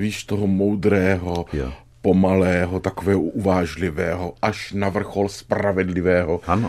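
On a very clean recording with a silent background, a man with a very deep, low voice speaks in a monotone, flat way at a fairly slow pace. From Brno, Czechia. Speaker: radio talk show host. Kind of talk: casual interview. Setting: studio.

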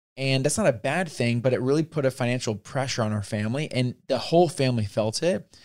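At a very fast pace, a man with an American accent speaks at medium pitch with ordinary pitch variation. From US rural. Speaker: podcast co-host. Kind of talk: casual chat.

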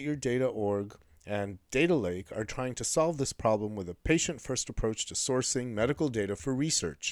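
Captured in a very clean recording with a silent background, a man uses an unremarkable speaking voice at a medium pitch, talking fairly quickly with lively intonation. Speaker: podcast host. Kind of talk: interview.

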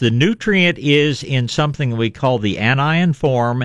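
A man at a fairly high pitch and a fairly slow pace. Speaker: radio gardening show host. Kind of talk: radio call-in advice chat. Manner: cheerful, smiling.

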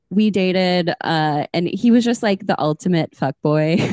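A woman's fairly low voice in an American accent, with ordinary pitch variation and a dry, close sound without echo. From Minnesota. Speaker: podcast host. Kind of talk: casual chat.

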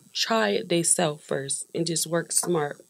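A woman speaks with a fairly low pitch and ordinary pitch variation. Vocal fry runs through her voice. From Wilmington, Delaware. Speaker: rapper. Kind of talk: casual chat.

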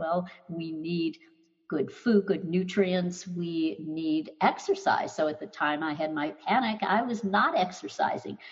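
A fairly slow, fairly low-pitched woman's voice with ordinary pitch variation and music in the background. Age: 70s. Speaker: anxiety doctor, former teacher. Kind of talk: interview.

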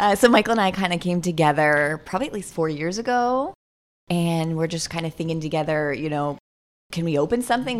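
A woman with an ordinary speaking voice and an American accent, fairly low in pitch with ordinary pitch variation, at a fairly quick pace, on a very clean recording with a silent background. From US, Florida (Saint Petersburg). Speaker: vegan cafe owner. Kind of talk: casual chat.

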